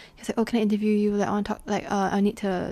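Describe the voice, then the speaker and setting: A woman with a dark, mellow tone and medium pitch speaks at a very fast pace. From Singapore. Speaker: podcast co-host. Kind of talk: casual chat. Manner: animated.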